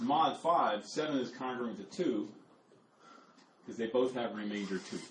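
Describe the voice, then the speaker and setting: With lively intonation, a man talks at a moderate pace and medium pitch, with audible room echo and noticeable background noise. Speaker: math lecturer. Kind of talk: lecture.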